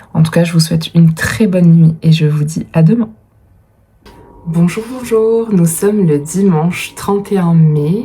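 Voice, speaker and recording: Against noticeable background noise, a woman with a fairly low pitch speaks at a fairly slow pace with ordinary pitch variation. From France, Dordogne (Périgord). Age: 30s. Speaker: vlogger and writer. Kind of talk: casual vlog talk. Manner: hesitant, many fillers.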